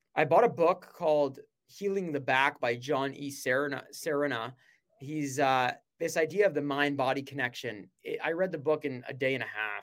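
A man with a fairly high pitch and ordinary pitch variation keeps a moderate pace on a very clean recording with a silent background. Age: 20s. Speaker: snack company co-founder. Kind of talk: podcast interview. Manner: animated.

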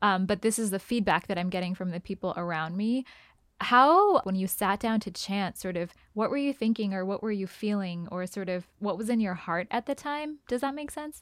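On a very clean recording with a silent background, a woman talks at a moderate pace with medium pitch and lively intonation. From immigrant to US at age three. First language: non-English (immigrated as child). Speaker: podcast host. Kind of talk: interview.

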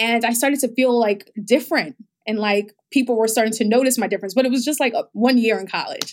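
A woman with an American accent and a fairly high pitch, at a very fast pace with ordinary pitch variation. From New York, the Bronx. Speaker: health startup founder. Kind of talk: interview.

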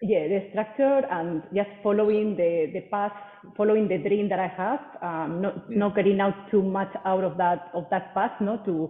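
With a Spanish accent, a woman speaks at a moderate pace and medium pitch, her intonation fairly even, against noticeable background noise. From Spain. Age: 40s. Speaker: personal trainer. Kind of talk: interview. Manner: hesitant, many fillers and repeats.

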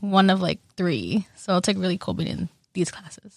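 Woman with an unremarkable speaking voice and an American accent, ordinary pitch variation, dry, close sound with no echo, and a very clean recording with a silent background. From northwest Iowa. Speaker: university student. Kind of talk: casual chat.

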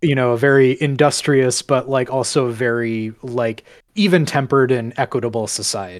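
With a plain, everyday voice and an American accent, a man speaks at a medium pitch. He keeps a moderate pace, and his pitch varies in an ordinary way. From rural central Minnesota. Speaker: video editor and podcast guest. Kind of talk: casual chat.

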